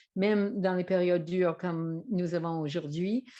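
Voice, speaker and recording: At a very slow pace, a woman speaks with an English Canadian accent. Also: quiet background. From English-speaking Canada. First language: English (speaking French). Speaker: trainer and author. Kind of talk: presentation to camera. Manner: hesitant, many fillers.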